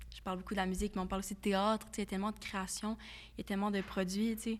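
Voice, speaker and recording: A woman speaks with a Quebec accent. The recording is very clean, with a silent background. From Quebec, Varennes. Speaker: podcast co-host, student. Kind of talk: casual chat. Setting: studio.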